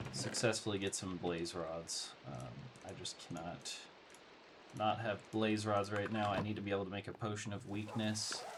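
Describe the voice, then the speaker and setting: Quiet speech at a moderate pace, with ordinary pitch variation, sits against noticeable background noise. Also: man, fairly low pitch for a man. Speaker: gaming let's play host. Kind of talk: casual gameplay commentary.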